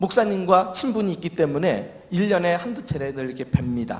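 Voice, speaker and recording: Speaking with a Seoul accent, a man uses a high pitch and very wide pitch swings at a fairly slow pace. Audible room echo surrounds the voice. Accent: Seoul Korean. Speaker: senior pastor. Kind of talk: sermon.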